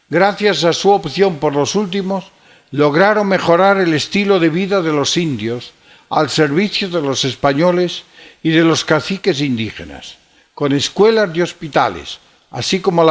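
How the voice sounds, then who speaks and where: Spoken with a Galician accent, the voice has lively intonation. The pace is fairly slow. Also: man. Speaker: archbishop. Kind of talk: lecture. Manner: formal.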